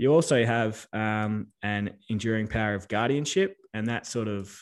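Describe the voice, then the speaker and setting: Speaking with an Australian accent, a man's voice holds a medium pitch. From Western Australia. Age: 30s. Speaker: accountant and business adviser. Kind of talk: interview.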